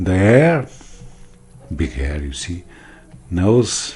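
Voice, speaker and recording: In a Portuguese accent, a man speaks very slowly, with very wide swings in pitch. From Portugal. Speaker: math teacher. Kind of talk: tutorial. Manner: halting.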